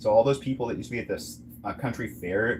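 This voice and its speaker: A man with an American accent. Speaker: online commentator. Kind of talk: casual monologue. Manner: fast; rambling with restarts and fillers.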